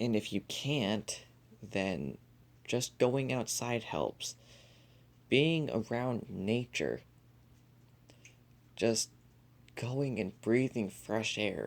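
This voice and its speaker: A soft-spoken man talks at a very slow pace in a medium pitch, with vocal fry. Long, frequent pauses break up his speech. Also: ordinary pitch variation. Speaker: podcast host. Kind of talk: casual podcast monologue.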